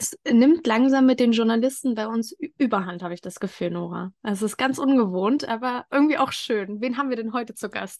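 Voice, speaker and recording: The pace is fairly quick as a woman speaks. Her pitch moves up and down in an ordinary way. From eastern Germany (Thuringia). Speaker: podcast host. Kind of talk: casual interview.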